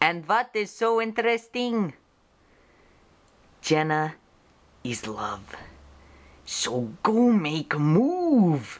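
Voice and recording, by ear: A woman does a cartoonish character voice at a fairly low pitch and a very slow pace. Her pitch swings widely, and long pauses come often.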